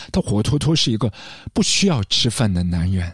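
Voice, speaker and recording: Somewhat breathy, a man's voice makes very wide pitch swings on a very clean recording with a silent background. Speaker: podcast host discussing film music. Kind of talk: scripted solo narration. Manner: reflective, measured delivery.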